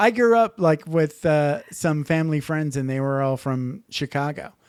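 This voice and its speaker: With an American accent and a plain, everyday voice, a man of fairly high pitch talks at a moderate pace on a very clean recording with a silent background. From Upper Peninsula, Michigan. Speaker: podcast host. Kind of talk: casual chat.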